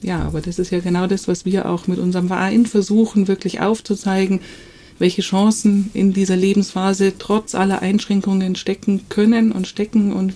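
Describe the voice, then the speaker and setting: A woman at medium pitch, monotone and flat in intonation, at a moderate pace. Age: 50s. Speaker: nonprofit founder. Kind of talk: podcast interview.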